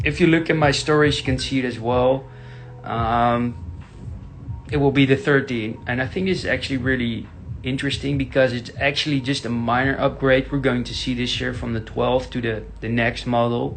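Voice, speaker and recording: Music plays in the background as the speaker talks with fairly even intonation in a Dutch accent. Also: man, medium pitch for a man, moderate pace. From Netherlands. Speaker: tech YouTuber. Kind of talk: casual Q&A. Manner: halting, many fillers.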